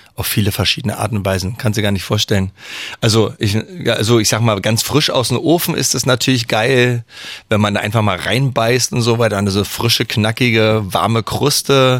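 Here is a man with a plain, everyday voice at a medium pitch. He keeps a moderate pace and fairly even intonation. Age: 40s. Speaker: master baker and bread sommelier. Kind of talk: radio interview. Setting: radio studio.

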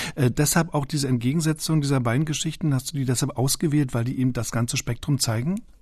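A man speaks in a dark, mellow, somewhat breathy tone with ordinary pitch variation. The background is quiet. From East Berlin. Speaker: radio host. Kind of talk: podcast moderation and interview.

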